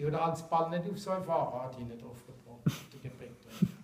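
A man in a Mannheim accent with ordinary pitch variation and audible room echo. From Mannheim, Germany. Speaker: angler. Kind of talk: casual explanation to camera. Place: classroom. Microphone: camera far.

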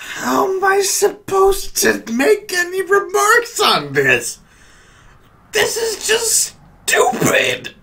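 Speaking at a very slow pace, a man uses a raised, projected voice. His pitch varies in an ordinary way. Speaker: reviewer. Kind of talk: commentary. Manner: drunk, exasperated complaining. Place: home room. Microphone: studio mic.

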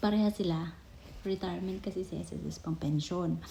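A woman speaks at a moderate pace in a dark, mellow, somewhat breathy tone with fairly even intonation. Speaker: vlogger and overseas Filipino worker. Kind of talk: casual explainer vlog. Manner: halting, with many fillers.

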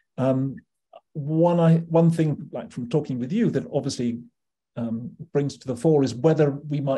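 A man speaks fairly quickly in a dark, mellow, somewhat breathy tone with ordinary pitch variation. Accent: British. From UK. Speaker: psychiatry professor. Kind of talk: interview conversation. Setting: video call. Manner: halting. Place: home room. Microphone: video call.

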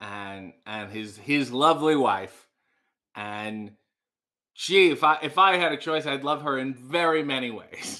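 A man's bright, sharp voice at a fairly slow pace, over a quiet background. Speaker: livestream host. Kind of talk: casual livestream chat reading comments. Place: kitchen. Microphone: webcam.

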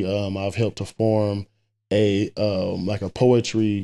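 Speaking at a fairly low pitch, a man talks with a Southern US accent. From US South. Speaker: poet; podcast guest, poet. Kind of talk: casual chat. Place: home room. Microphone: studio mic.

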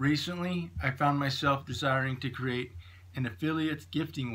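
Bright and sharp in tone, a man talks with an American accent and ordinary pitch variation. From Idaho, US. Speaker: small business owner. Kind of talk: scripted narration. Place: home room. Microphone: phone near.

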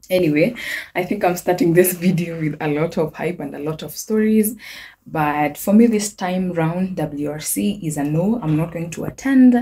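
Spoken at a moderate pace with ordinary pitch variation, the voice comes through over light background noise. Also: woman. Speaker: vlogger. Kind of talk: casual vlog chat. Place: home room. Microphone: phone near.

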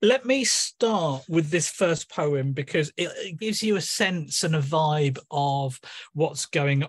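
A somewhat breathy man speaks at a very slow pace with ordinary pitch variation against a quiet background. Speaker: guest. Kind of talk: informal introduction before poetry reading. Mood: warm, self-deprecating, animated. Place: home room. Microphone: video call.

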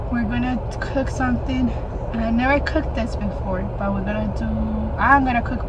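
A woman talks over loud background noise. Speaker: vlogger. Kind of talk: casual vlog chat. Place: car. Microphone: phone near.

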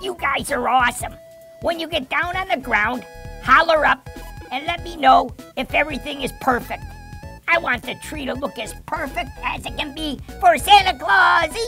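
Clear music plays in the background as a high-pitched, cartoonish character voice speaks at a moderate pace. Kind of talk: children's puppet show. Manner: upbeat, excited.

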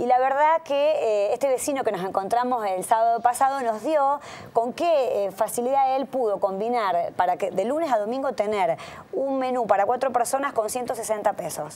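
At a moderate pace, a woman speaks with a high pitch, a dark, mellow tone and lively intonation. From Argentina, Santa Fe city; Argentina. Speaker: city councillor. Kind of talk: radio interview. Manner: halting, many fillers. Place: studio. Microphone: lapel.

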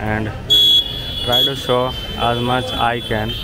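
Noticeable background noise behind a man's dry, echo-free voice. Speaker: walking tour guide. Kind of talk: casual vlog narration. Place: street. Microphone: phone near.

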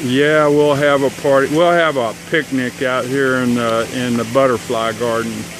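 A man's medium-pitched voice at a moderate pace, with hardly any pauses, fairly even intonation and noticeable background noise. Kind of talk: casual home video talk.

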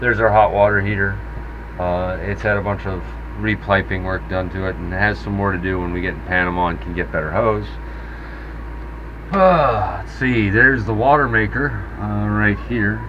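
A man with a very deep, low voice talks at a moderate pace, leaving long, frequent pauses over noticeable background noise. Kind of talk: casual tour commentary. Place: boat. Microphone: phone near.

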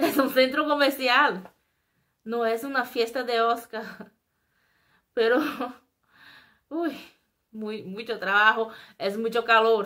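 A woman with a Brazilian accent speaks at a very slow pace, taking long, frequent pauses. Her fairly high voice has a bright, sharp tone and ordinary pitch variation over a quiet background. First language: Portuguese (speaking Spanish). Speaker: YouTuber; vlogger. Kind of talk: casual vlog monologue. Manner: halting. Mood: animated, expressive. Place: home room. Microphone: webcam.

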